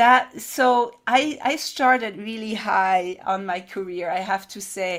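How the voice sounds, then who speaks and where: On a very clean recording with a silent background, a woman of medium pitch talks very slowly with ordinary pitch variation. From France. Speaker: business founder and CEO. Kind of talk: interview. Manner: halting.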